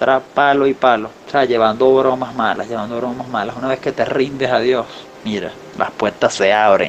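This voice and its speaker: Over noticeable background noise, a man talks at a moderate pace with a medium pitch and fairly even intonation. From Venezuela, Falcón state. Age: 20s. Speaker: musician. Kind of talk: interview. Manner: halting, repeats words.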